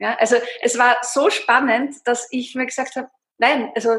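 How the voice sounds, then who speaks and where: A woman's high-pitched voice. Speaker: fasting coach. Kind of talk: interview. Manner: hesitant fillers.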